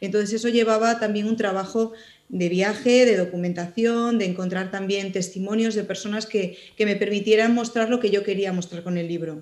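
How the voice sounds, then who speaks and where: A woman speaks at a moderate rate, with a quiet background behind her. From Spain, mining area of León mountains; León, Spain. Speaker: writer and journalist; interviewee. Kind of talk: interview. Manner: hesitant, many fillers. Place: home room. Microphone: video call.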